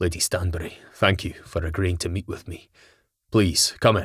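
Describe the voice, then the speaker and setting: Putting on a character voice, a man speaks very deep and low in a monotone, flat way at a moderate pace on a very clean recording with a silent background. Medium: read story. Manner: gentle, courteous.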